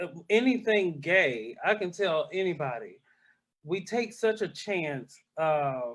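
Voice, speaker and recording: Very slow delivery with very wide pitch swings. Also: man. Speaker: drag performer. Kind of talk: casual interview chat.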